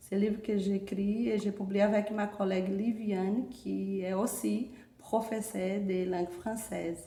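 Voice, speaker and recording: A woman talks at a fairly slow pace in a monotone, flat way with a medium pitch. The room echoes audibly and background noise is noticeable. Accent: Portuguese. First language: Portuguese (speaking French). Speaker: university French professor. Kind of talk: formal presentation speech. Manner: hesitant with filler pauses.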